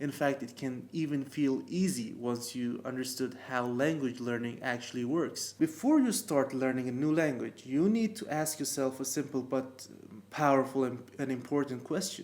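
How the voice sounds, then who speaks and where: A man with a non-native accent, ordinary pitch variation and hardly any pauses. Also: medium pitch for a man, moderate pace. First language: not English. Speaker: language learning youtuber. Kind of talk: tutorial. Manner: some hesitations and false starts.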